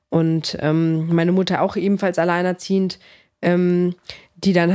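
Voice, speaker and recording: Speaking in a monotone, flat intonation, a woman keeps a medium pitch and a moderate pace. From Greece (came to Germany as a small child, early 90s). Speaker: MMA fighter and sports physiotherapist. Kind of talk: casual interview chat.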